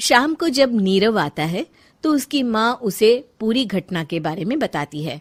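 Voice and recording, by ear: Big pitch swings mark a woman's fairly slow speech.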